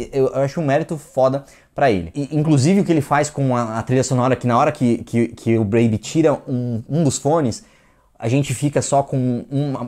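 A man with a dark, mellow tone speaks with ordinary pitch variation over a quiet background. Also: moderate pace. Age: 30s. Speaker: film critic. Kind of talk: film review monologue. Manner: hesitant, with repeated words. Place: studio. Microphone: lapel.

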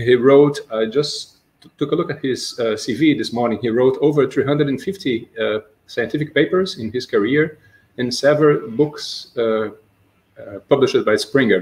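Speaking fairly slowly in a Portuguese accent, a man with a fairly high, somewhat breathy voice uses ordinary pitch variation. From Brazil. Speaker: seminar host. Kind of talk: academic Q&A and introduction. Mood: polite, formal. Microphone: video call.

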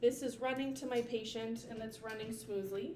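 Amid light background noise and audible room echo, a woman speaks at a moderate pace with ordinary pitch variation. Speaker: nursing instructor. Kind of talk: tutorial. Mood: friendly, relaxed. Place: home room. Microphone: camera far.

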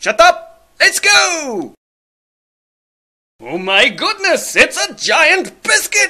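The voice has extremely high pitch and a very slow pace. Long, frequent pauses break it up. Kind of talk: comic overacting. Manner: bossy, shouty, excitable.

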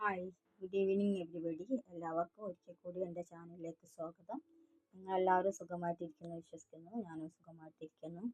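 Loudness swings widely as a woman with a fairly low pitch and fairly even intonation speaks in a dry, close sound with no echo. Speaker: gold price YouTuber. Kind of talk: solo vlog update on gold rates.

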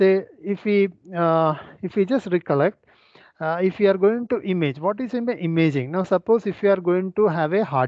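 A man's high voice with lively intonation at a moderate pace, dry with no echo, over a quiet background. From India. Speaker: forensic scientist, webinar speaker. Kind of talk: lecture with live software demonstration. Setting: video call webinar with screen sharing. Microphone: video call.

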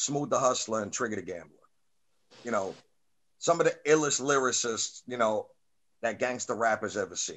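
A man with a New York accent speaks with lively intonation. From Staten Island, New York. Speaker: podcast host and rapper; podcast host. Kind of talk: casual interview. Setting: video call. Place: home room. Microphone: webcam.

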